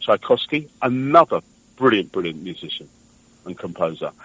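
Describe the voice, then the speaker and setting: This voice moves at a fairly quick pace with a London accent. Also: man. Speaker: singer-songwriter. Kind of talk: radio interview answer. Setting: phone line.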